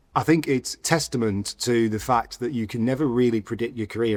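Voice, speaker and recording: With fairly even intonation, this man's voice sits at a medium pitch. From northern England, Bolton. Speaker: politician. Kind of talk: interview.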